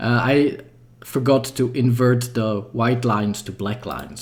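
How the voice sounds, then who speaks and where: A man talks in a somewhat breathy voice at medium pitch. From Czech Republic. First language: Czech. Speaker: 3D artist and game developer. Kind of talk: livestream tutorial. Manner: casual, thinking aloud.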